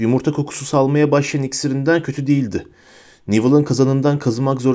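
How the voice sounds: What you hear is a natural reading voice.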